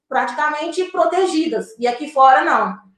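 Audible room echo is heard on this clip. The voice is a woman's. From Brazil, Minas Gerais (Diamantina, raised in Belo Horizonte area). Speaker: journalist. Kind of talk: interview conversation.

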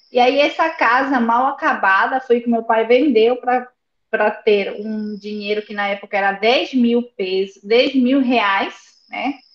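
This is a normal speaking voice from a woman, fairly high in pitch. She talks at a fairly slow pace. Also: ordinary pitch variation. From Buenos Aires, Argentina. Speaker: service design consultant. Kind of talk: interview conversation. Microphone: phone with headphones.

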